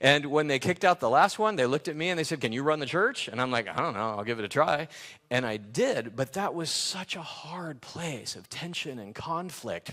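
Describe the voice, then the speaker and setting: A man talks with lively intonation in an American accent. His tone is bright and sharp. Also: fairly high pitch for a man, fairly quick pace. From Los Angeles, California. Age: 60s. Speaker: pastor. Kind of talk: sermon.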